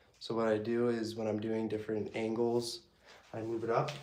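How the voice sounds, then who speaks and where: A man with an American accent at medium pitch and moderate pace, amid audible room echo. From Massachusetts, US. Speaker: arm wrestler and fitness YouTuber. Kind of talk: casual Q&A during training. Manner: casual, filler-heavy.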